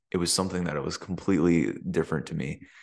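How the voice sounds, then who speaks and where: Against a quiet background, a man with an American accent and a very deep, low pitch speaks with monotone, flat intonation. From US Midwest, small-town Michigan. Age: 20s. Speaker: vlogger. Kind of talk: casual vlog monologue. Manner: filler-heavy, hesitant. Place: home room. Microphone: studio mic.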